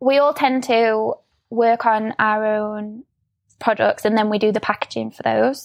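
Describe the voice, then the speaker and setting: In a Yorkshire accent, a woman with a fairly high pitch speaks at a fairly slow pace in a monotone, flat intonation. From Sheffield, northern England. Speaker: product designer. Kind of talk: casual interview.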